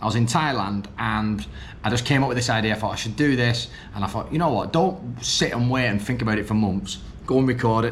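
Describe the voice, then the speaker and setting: A man talks while audible room echo and noticeable background noise fill the recording. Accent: northern English. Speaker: vlogger and business coach. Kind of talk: vlog monologue. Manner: hesitant, many ums and restarts.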